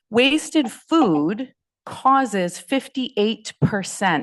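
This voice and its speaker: Loud and very slow, a woman speaks with very wide pitch swings. The background is quiet. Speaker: food rescue nonprofit director, panel speaker. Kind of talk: panel presentation.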